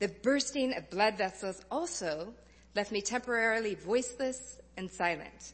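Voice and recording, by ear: With ordinary pitch variation, a natural voice reads the text aloud.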